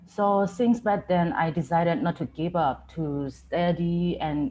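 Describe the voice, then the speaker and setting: A woman's fairly low, somewhat breathy voice with a Myanmar accent and lively intonation. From Myanmar, Chin State. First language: Chin. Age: 20s. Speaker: student speaker. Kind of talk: personal testimony.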